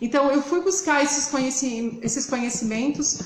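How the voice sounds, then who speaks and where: A woman with a southern Brazilian accent and a high pitch, over noticeable background noise. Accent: gaúcho. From southern Brazil, interior of Rio Grande do Sul. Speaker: hairdresser and hair color educator. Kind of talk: live stream presentation.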